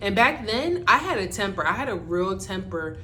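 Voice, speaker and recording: A woman speaks in an American accent at a moderate pace. Noticeable background noise can be heard. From Barbados. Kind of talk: casual talk to camera.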